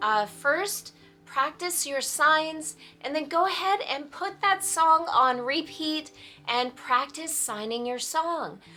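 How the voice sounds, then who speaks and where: Over music in the background, a raised, projected voice speaks at a very slow pace. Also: woman. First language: sign language (child of deaf parents). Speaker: sign language teacher. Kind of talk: tutorial. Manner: hesitant, many fillers.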